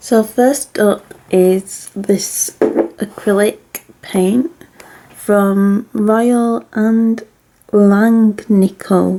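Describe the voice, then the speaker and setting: A woman speaks at a very slow pace with a Mancunian accent and medium pitch. Her loudness is very even and her intonation fairly even. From Manchester, England. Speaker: amateur artist. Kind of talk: casual talk to camera.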